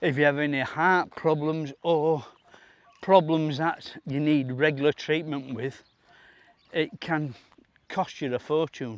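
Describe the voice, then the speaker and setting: With a Yorkshire accent, a man speaks with long, frequent pauses. His fairly high voice keeps a fairly even intonation. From Yorkshire, northern England. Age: 60s. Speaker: vlogger. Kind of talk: casual vlog monologue. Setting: outdoors. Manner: halting.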